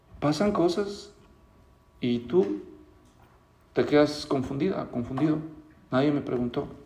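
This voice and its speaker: Speaking at a fairly slow pace with long, frequent pauses, a man with a fairly high pitch and lively intonation is heard amid audible room echo and noticeable background noise. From Mexico, Guadalajara. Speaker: pastor. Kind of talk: sermon.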